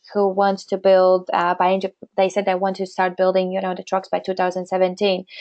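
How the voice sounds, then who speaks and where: A woman speaks with a non-native accent. Her pitch sits at a medium level. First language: not English. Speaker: webinar presenter. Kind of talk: webinar Q&A. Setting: webinar. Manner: halting.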